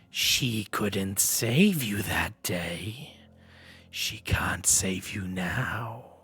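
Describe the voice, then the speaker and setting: This raspy, put-on character voice moves at a very slow pace. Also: man, fairly low pitch for a man. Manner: booming, filling the room.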